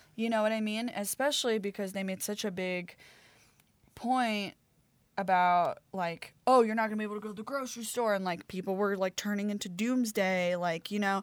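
With an American accent and a plain, everyday voice, a woman talks at a fairly quick pace, medium pitch and fairly even intonation. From Baltimore, Maryland, US. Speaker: herbalist. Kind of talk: casual chat. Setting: remote recording.

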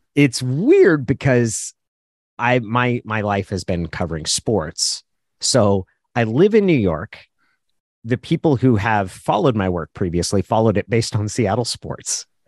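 At a fairly slow pace, a man with medium pitch and an unremarkable speaking voice speaks with lively intonation, the sound dry and close with no echo over a quiet background. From Oregon, US. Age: 40s. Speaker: sports journalist. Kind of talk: casual chat.

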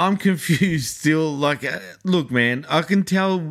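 With an Australian accent, a man speaks with ordinary pitch variation in a very clean recording against a silent background. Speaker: podcast co-host. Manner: casual, conversational.

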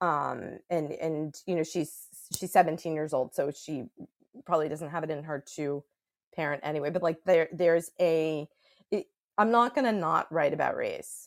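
With an American accent, a woman speaks in a very deep, low voice at a moderate pace with ordinary pitch variation, on a very clean recording with a silent background. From New York City. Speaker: author and psychotherapist. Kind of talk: interview. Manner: halting.

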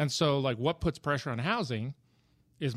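A man with a plain, everyday voice speaks at medium pitch and a fairly quick pace. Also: very clean recording, silent background. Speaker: real estate agent and author. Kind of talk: casual panel discussion.

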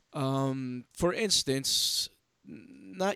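The man's lively intonation comes through in a dry, close sound with no echo. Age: 30s. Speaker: podcast host. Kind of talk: casual chat.

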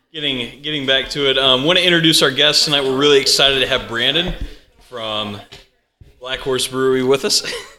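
Here is a man with a plain, everyday voice at medium pitch. He talks at a fairly quick pace with ordinary pitch variation. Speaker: podcast host. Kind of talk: casual podcast chat. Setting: brewery, recording live with guests.

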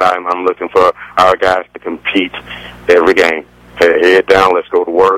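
A man with a very deep, low pitch is heard in a dry, close recording with no echo but noticeable background noise. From Decatur, Georgia, east of Atlanta. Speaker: college basketball coach. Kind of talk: radio phone interview.

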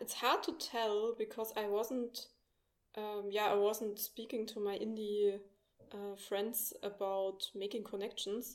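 With a German accent, a woman speaks at a fairly high pitch and a fairly slow pace, her intonation monotone and flat. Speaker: indie game studio founder. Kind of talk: interview.

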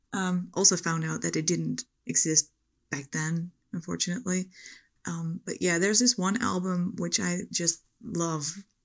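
A woman speaks with a Dutch accent at a fairly low pitch, with ordinary pitch variation and a moderate pace. The recording is very clean, with a silent background. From Netherlands. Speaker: listener. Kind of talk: recorded voice message. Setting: recorded voice message.

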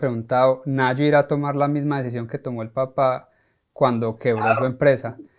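A man speaks at a moderate pace in a plain, everyday voice of medium pitch, with fairly even intonation. The recording is very clean, with a silent background. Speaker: podcast host, life coach. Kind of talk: interview.

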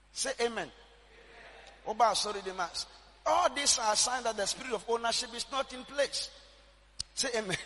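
A man's raised, projected voice with a Ghanaian accent, extremely high pitch and an animated tone, ordinary pitch variation, moderate pace and long, frequent pauses, against noticeable background noise. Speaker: prophet and church general overseer. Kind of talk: sermon, preacher in full flow, call and response. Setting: church with live congregation. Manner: animated, exhorting, rhythmic repetition, commanding.

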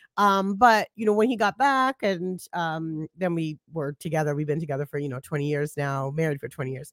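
Her voice is very deep and low for a woman, with a New York accent and lively intonation at a fairly quick pace with hardly any pauses. The recording is very clean with a silent background, the sound dry and close with no echo. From Brooklyn, New York (Flatbush). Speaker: digital strategist and podcaster. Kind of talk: casual chat.

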